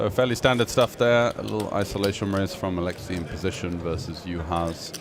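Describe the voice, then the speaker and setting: A man's very deep, low voice at a fairly quick pace, hardly any pauses, ordinary pitch variation and noticeable background noise. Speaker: poker commentator. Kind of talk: live commentary.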